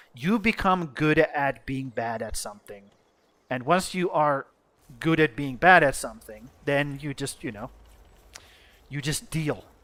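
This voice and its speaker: A man's fairly high-pitched voice with a bright, sharp tone. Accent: Finnish. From Finland. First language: Finnish. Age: 30s. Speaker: gaming streamer. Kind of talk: live stream commentary.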